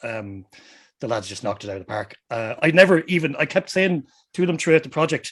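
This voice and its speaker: A man with an Irish Midlands accent talks at a fairly quick pace. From Ireland, Westmeath. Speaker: musician. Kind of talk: casual chat.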